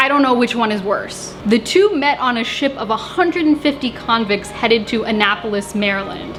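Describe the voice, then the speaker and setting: High-pitched female voice, moderately paced and lively in intonation, amid noticeable background noise. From US South. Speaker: history and cooking video creator. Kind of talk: casual storytelling narration. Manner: casual, joking.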